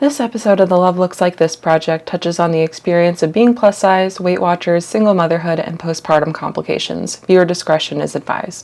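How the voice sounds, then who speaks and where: A woman with a fairly low pitch and ordinary pitch variation speaks at a fairly quick pace with hardly any pauses. Noticeable background noise runs through the clip. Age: 20s. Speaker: photographer and podcast host. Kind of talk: scripted intro.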